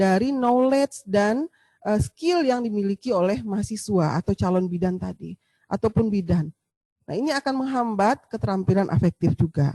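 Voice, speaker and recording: With a Sumatran accent, a woman talks at a moderate pace and medium pitch, her somewhat breathy, dark, mellow tone making very wide pitch swings in a dry, close sound with no echo. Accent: Sumatran, forceful tone. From Sumatra, Indonesia. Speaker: midwifery lecturer. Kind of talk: lecture. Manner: hesitant fillers.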